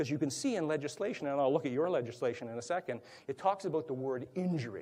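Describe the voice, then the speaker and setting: With a dark, mellow tone and lively intonation, a man speaks at a very fast pace in a fairly high pitch. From Canada, Toronto. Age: 70s. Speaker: workplace violence prevention speaker. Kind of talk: conference presentation. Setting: conference room with audience.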